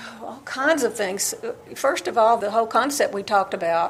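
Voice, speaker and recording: With an Alabama accent, a woman speaks in a fairly high voice. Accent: Southern US (Alabama). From US South, Alabama. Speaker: novelist. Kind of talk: interview.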